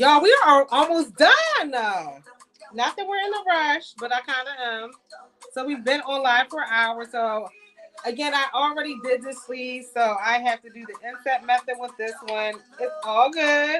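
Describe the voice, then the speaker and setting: A woman's high, raised, projected voice with an American accent, ordinary pitch variation, a moderate pace, and big swings in loudness. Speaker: sewing livestream host. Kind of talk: live sewing tutorial. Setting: livestream. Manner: casual, chatty.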